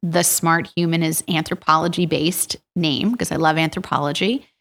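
A woman with an American accent and a fairly low pitch speaks at a moderate pace in a very clean recording with a silent background. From US Northeast, Bucks County Pennsylvania / Princeton area. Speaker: rheumatologist. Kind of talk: interview. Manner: halting.

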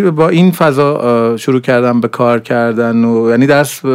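A man speaks in a plain, everyday voice at a medium pitch. His intonation is lively. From Iran, grew up in Zahedan. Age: 40s. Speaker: animation director and university lecturer. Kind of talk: interview. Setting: studio.

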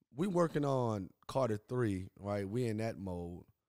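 Speaking fairly slowly in a New Orleans accent, a man has a medium-pitched, dark, mellow voice with ordinary pitch variation. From New Orleans, Louisiana. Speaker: music manager. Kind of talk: casual interview.

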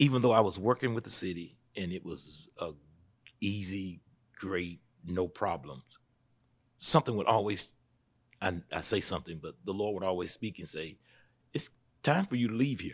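With a Southern US accent, a man speaks at a moderate pace and a fairly low pitch, using lively intonation, big swings in loudness and long, frequent pauses, in a very clean recording with a silent background. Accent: Southern US (Georgia). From US South, Statesboro, Georgia. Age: 40s. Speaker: pastor. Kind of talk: interview conversation.

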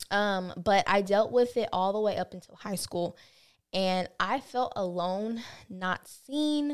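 In a Southern US accent, a woman speaks very slowly at a medium pitch with ordinary pitch variation on a very clean recording with a silent background. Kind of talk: casual chat.

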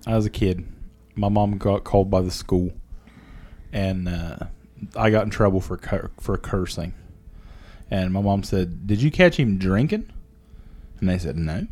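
A dark, mellow tone at a fairly slow pace, broken by long, frequent pauses. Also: man, fairly low pitch for a man, ordinary pitch variation. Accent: Appalachian. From southern Ohio, Jackson County. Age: 40s. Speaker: podcast co-host, factory worker. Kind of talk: casual chat.

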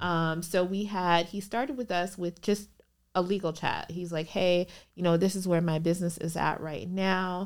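In an American accent, a woman with a normal speaking voice talks at a moderate pace, her fairly low pitch moving in fairly even intonation on a very clean recording with a silent background. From Minnesota, US; Liberian family. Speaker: business attorney. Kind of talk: casual interview chat.

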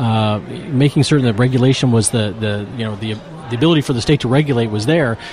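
A very fast pace with ordinary pitch variation, over noticeable background noise. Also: man, medium pitch for a man. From Appalachia. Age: 40s. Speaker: marijuana reform activist. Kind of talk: interview.

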